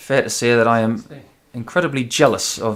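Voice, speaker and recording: A man talks at a moderate pace. His intonation stays flat and monotone. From northern England, Newcastle upon Tyne (Geordie). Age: 40s. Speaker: darts commentator and former darts player. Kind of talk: live darts commentary.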